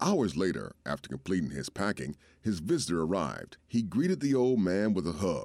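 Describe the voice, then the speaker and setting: With vocal fry and very wide pitch swings, a man talks at a moderate pace in a very clean recording with a silent background. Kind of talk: performed poem and dramatic allegory reading, storytelling.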